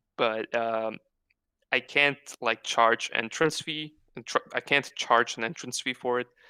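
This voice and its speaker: A medium-pitched man with a strong Croatian accent and a bright, sharp tone, fairly slow, dry and close with no echo on a very clean recording with a silent background. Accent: thick Croatian. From Croatia (Osijek). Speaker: web comic artist and stand-up comedian. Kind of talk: casual interview chat. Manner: halting, many fillers.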